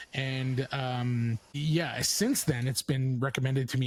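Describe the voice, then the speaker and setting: Medium pitch from a man, somewhat breathy, with fairly even intonation. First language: French. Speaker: podcast host. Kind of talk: casual chat. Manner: halting; stilted when reading aloud.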